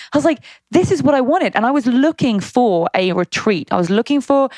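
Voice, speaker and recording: Someone with a British accent talks at a fairly quick pace with lively intonation, the sound dry and close with no echo. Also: woman. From Britain. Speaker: fitness entrepreneur and youtuber. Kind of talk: interview. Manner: casual.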